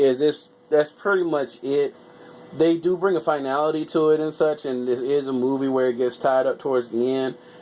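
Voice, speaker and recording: At a moderate pace, a man with a fairly high voice speaks with fairly even intonation against noticeable background noise. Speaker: YouTuber reviewing movies. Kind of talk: casual movie review. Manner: stuttering at times.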